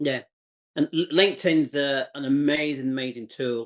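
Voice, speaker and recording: In a dry, close sound with no echo, a man speaks with an English accent. His pitch is fairly high, with ordinary pitch variation. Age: 60s. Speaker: entrepreneur, former chef. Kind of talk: interview. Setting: video call.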